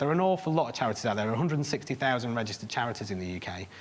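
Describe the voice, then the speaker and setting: Medium in pitch, a man speaks with a Lancashire accent. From northern England, Bolton. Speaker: charity private sector worker. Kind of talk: conference presentation.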